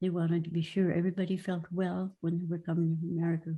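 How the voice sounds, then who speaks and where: Speech unfolds at a moderate pace. There is a somewhat breathy quality to it. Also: woman. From Norway; Minnesota. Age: 80s+. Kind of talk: personal history talk. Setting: video call.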